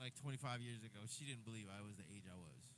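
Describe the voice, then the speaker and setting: An animated man with an American accent talks at a fairly quick pace with lively intonation. Audible room echo surrounds his voice. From New Jersey. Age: 60s. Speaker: drummer and livestreamer. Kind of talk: casual livestream chat.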